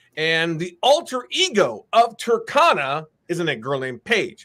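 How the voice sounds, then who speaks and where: A man's high, bright and sharp voice with very wide pitch swings and hardly any pauses. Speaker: comic book creator. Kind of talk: interview. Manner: fast.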